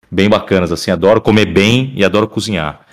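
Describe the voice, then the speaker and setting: A man's voice at a fairly quick pace. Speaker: voice actor. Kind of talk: casual chat.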